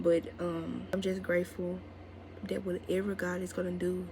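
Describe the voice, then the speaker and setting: The speaker keeps a moderate tempo, and audible room echo can be heard. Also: woman. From Mississippi, US South. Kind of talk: casual vlog talk to camera.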